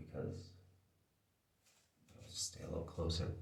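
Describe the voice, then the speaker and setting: The voice belongs to a man. Audible echo from the room hangs on his words. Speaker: video essayist. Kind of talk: casual vlog monologue. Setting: indoors, talking to camera. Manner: quiet, not loud; careful enunciation.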